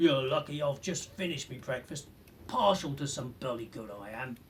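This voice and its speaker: Using a put-on character voice, a man speaks at medium pitch and a moderate pace. Clear background noise can be heard. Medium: read story. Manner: surly, menacing.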